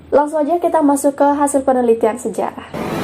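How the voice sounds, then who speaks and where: Fairly quick, high-pitched female speech with ordinary pitch variation over noticeable background noise. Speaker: YouTuber. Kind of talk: explainer vlog. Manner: casual, chatty.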